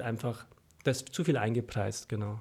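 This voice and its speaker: With a Franconian accent, a man speaks at a moderate pace in a dark, mellow tone and a monotone, flat intonation. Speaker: stock newsletter author. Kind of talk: casual chat. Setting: studio. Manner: mumbling.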